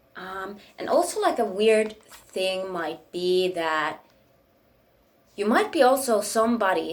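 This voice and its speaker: Speaking at a very slow pace with a Finnish accent, a woman shows big swings in loudness. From Finland. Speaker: spiritual YouTuber. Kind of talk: casual monologue. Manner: rambling, hesitant with many fillers.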